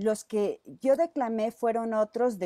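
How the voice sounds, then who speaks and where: A woman's dark, mellow tone in a dry sound with no echo, against a quiet background. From Mexico, Zacatecas. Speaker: teacher. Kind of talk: presentation. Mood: warm, reminiscing. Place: home room. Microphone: earbuds.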